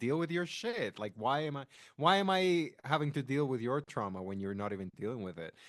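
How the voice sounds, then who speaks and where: A man speaks with a non-native accent and an animated tone. His pitch swings very widely against a quiet background. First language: not English. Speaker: podcast co-host. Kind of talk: casual chat.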